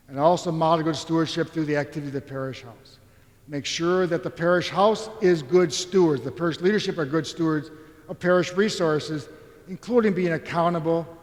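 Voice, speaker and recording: A man's fairly high voice in an American accent, fairly quick, with ordinary pitch variation, big swings in loudness and noticeable background noise. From Philadelphia area, US. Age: 60s. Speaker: economics professor, keynote speaker. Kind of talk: conference keynote lecture. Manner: conversational, informal.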